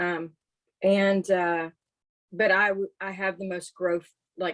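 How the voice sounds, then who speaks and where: On a dry, close recording with no echo, a woman speaks at a fairly slow pace with medium pitch and monotone, flat intonation. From East Texas. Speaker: paranormal investigator and empath. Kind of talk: podcast interview, casual storytelling.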